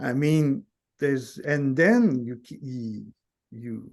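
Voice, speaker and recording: A man with a non-native accent speaks at a very slow pace. His pitch is fairly high, with ordinary variation. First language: not English. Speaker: guest in nonduality conversation. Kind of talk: casual chat. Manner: halting, many false starts.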